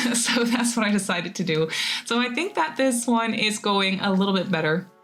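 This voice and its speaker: A woman at a moderate pace, ordinary pitch variation, music in the background. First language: not English. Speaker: gaming YouTuber. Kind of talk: voiceover narration of a game build. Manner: casual, rambly with fillers.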